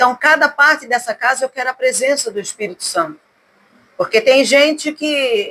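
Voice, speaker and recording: Her high voice raised and projected, a woman speaks at a moderate pace with a bright, sharp tone and lively intonation. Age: 60s. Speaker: gospel singer. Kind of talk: casual interview. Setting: at her home.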